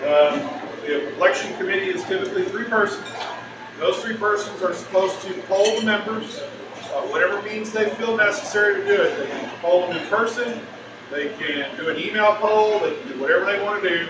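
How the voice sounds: Audible room echo surrounds a man talking at a fairly quick pace in a high voice with ordinary pitch variation.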